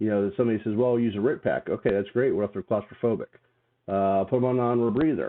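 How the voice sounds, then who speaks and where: A man talks at a very fast pace. His pitch varies in an ordinary way. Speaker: hazmat trainer and fire lieutenant. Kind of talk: casual chat. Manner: loud.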